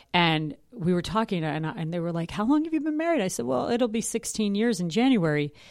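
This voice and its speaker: Here a woman talks at a very fast pace with a fairly low pitch and an American accent. The recording is very clean, with a silent background. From New York City. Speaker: Broadway actress and singer. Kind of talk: casual interview.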